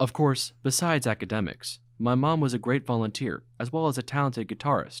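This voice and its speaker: Using a plain, everyday voice, a man of medium pitch speaks at a fairly quick pace with ordinary pitch variation in a very clean recording with a silent background. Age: young. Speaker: student filmmaker. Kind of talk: scripted narration.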